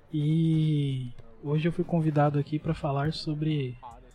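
The man's voice has a fairly high pitch and a dark, mellow tone. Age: 20s. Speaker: computer engineering student explaining tech. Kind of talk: casual chat.

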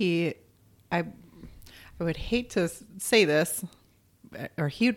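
A woman with a fairly low pitch and ordinary pitch variation speaks at a moderate pace in a very clean recording with a silent background. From Arizona. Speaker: wife of a deaf man. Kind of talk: interview.

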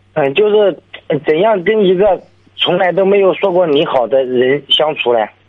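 Here a man talks at a moderate pace in a high voice. His loudness stays very even while his intonation is lively. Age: 20s. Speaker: caller, renovation worker. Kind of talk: radio call-in conversation. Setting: phone call. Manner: halting.

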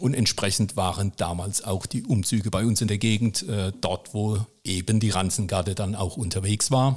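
A somewhat breathy man with a fairly low voice and ordinary pitch variation talks at a moderate pace with hardly any pauses. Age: 50s. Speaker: municipal technical services manager and club chronicler. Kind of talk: casual interview. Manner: frequent hesitations (äh, ähm).

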